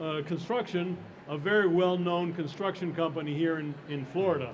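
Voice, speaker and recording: Loud speech at a moderate pace and with fairly even intonation carries audible room echo over noticeable background noise. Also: man. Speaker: panel moderator. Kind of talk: panel discussion moderation. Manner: halting.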